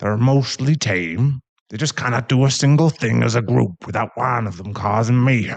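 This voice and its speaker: A man puts on a character voice. His pitch is medium. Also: moderate pace. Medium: audio drama. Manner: awkward, jokey.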